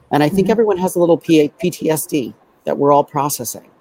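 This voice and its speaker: The voice has a dark, mellow tone and an American accent. The sound is dry and close, with no echo. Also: man. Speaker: aerial designer and author. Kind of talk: casual chat. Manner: animated.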